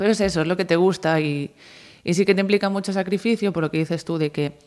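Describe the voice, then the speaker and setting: On a very clean recording with a silent background, a woman with a plain, everyday voice talks at a moderate pace with fairly even intonation. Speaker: futsal goalkeeper. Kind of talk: interview.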